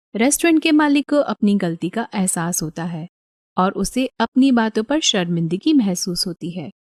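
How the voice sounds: A woman's medium-pitched, slightly mellow voice with lively intonation, in a dry, close sound with no echo. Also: moderate pace.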